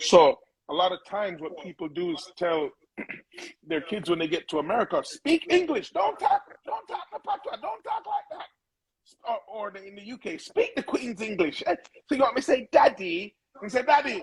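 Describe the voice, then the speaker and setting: In a Jamaican accent, a man with a high-pitched voice swings very widely in pitch and shows big swings in loudness. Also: moderate pace. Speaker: music producer. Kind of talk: interview.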